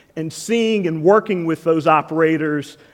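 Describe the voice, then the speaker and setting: A man with a high pitch talks at a fairly slow pace with ordinary pitch variation. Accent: American. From US, Washington DC. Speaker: tech executive. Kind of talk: conference keynote. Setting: stage with audience.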